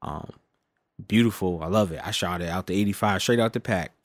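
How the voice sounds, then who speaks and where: This man has a normal speaking voice, pitched fairly low, with an American accent, on a very clean recording against a silent background. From United States. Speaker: archery podcast co-host. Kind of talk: casual chat.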